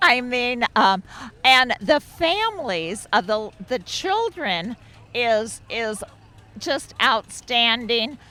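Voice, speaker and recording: With music in the background, a woman uses a raised, projected voice at a high pitch, her pitch swinging very widely. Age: 70s. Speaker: cyclist interviewed at event. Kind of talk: casual interview.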